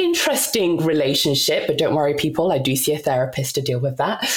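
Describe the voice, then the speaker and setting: A woman with a British accent at a fairly quick pace, over noticeable background noise. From UK (moved from DR Congo at seven). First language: not English (Congolese languages/French). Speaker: podcast co-host and author. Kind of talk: casual interview chat.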